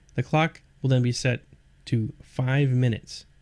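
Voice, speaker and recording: A man with an unremarkable speaking voice, fairly high in pitch, talks at a fairly slow pace. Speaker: software tutorial presenter. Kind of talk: tutorial.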